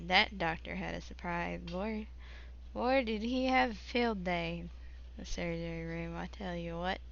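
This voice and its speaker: At a fairly slow pace, a woman talks in a room with audible echo. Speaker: gaming live streamer. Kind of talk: live stream gameplay chat. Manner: casual, halting with fillers.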